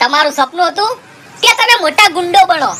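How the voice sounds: A woman does a cartoonish character voice at an extremely high pitch. Her intonation is lively and her pace fairly slow.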